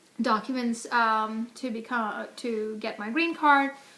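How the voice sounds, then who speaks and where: A woman with an Indian accent, fairly high in pitch, at a fairly slow pace with ordinary pitch variation. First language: Hindi. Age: 40s. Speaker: interviewee, immigrant parent. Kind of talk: casual interview. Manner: many fillers (um, uh).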